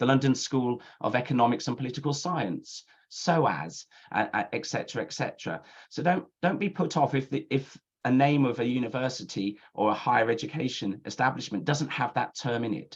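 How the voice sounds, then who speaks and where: A man's medium-pitched voice with a British accent, a fairly quick pace and lively intonation. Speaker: university admissions counsellor. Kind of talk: webinar presentation. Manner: fast.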